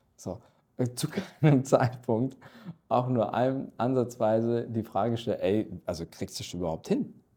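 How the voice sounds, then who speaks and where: A man speaks at a fairly slow pace and a medium pitch. His tone is dark and mellow, with lively intonation. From Ruhr area, Dortmund (Germany), Turkish family. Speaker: corporate strategy executive. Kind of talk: interview.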